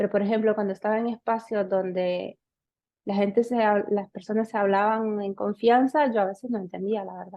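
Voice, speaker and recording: A woman speaks in a monotone, with flat intonation. Her pace is moderate. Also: medium pitch for a woman. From Honduras, city. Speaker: podcast co-host. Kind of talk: casual chat.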